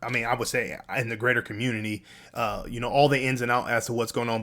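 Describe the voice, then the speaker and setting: Speaking at a fairly quick pace, a man holds a medium pitch. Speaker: crypto YouTuber. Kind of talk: casual commentary. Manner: fast; animated.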